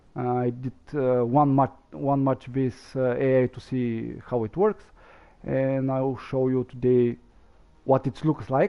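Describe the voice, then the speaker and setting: Here a man speaks with a non-native accent at medium pitch. His intonation stays fairly even at a fairly slow pace. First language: not English. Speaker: gaming streamer. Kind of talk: gameplay commentary. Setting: live stream. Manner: halting, many fillers.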